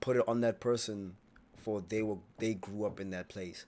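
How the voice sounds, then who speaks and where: Animated in tone, a man with an American accent talks at a moderate pace in a fairly low pitch. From US South. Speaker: YouTube reaction streamer. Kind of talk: casual reaction commentary.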